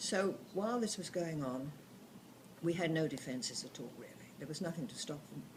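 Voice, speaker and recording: A woman with a fairly low pitch and lively intonation, her loudness swinging widely, long pauses coming often, audible room echo around her. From southern England. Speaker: grandmother telling wartime memories. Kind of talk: oral history storytelling. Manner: halting.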